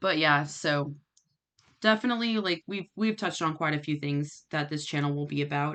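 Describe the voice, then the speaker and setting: Her pitch very deep and low, a woman speaks with ordinary pitch variation against a quiet background. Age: 30s. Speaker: vlogger and adult student. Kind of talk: personal vlog monologue. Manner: halting, many fillers.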